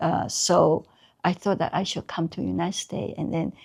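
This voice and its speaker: A woman talks at an average speed, captured in a very clean recording against total background silence. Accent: Taiwanese. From Taiwan. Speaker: artist, Chinese brush painter. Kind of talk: oral history interview. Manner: halting, many fillers.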